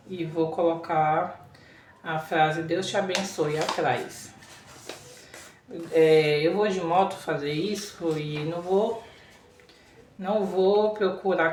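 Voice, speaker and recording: A woman speaks at a fairly low pitch with fairly even intonation and long, frequent pauses. Background noise is noticeable, and room echo is audible. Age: 30s. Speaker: vlogger. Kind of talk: casual vlog talk.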